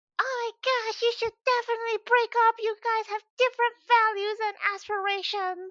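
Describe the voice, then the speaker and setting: At a moderate pace, the speaker uses a put-on character voice pitched extremely high. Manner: sweet, concerned.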